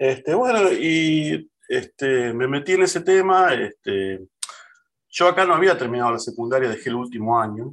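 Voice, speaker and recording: Speaking at a moderate pace in a normal speaking voice, a man uses lively intonation at a fairly high pitch. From Argentina, San Fernando (Buenos Aires area). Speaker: data and technology professional. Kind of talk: casual interview.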